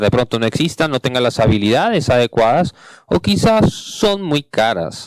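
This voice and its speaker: Speaking at a fairly slow pace with an English accent, a man uses a medium pitch, and the sound is dry and close with no echo. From Canada. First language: English (speaking Spanish). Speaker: panel moderator, game industry manager. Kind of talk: conference panel introduction. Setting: stage with audience.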